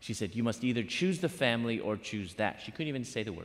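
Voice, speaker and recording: On a very clean recording with a silent background, a man with an American accent swings his pitch very widely. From Chicago, US Midwest. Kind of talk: sermon. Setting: university chapel with live audience.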